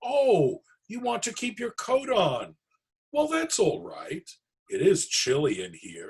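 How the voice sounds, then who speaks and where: Putting on a character voice, a man talks fairly slowly at an extremely high pitch, his loudness swinging widely. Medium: read story. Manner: warm, chatty.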